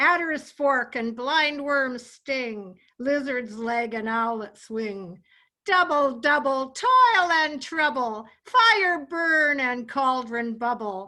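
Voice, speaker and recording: A woman's put-on character voice, high-pitched, at a very slow pace with hardly any pauses. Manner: theatrical, incantatory.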